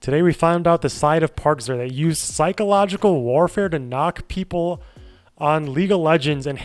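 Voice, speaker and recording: Music plays in the background. The speaker talks at a moderate pace with ordinary pitch variation, in a Midwestern US accent. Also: man. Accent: General American, Midwest. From Chicago suburbs, US Midwest. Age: 30s. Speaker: streamer. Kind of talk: casual chat. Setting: live stream.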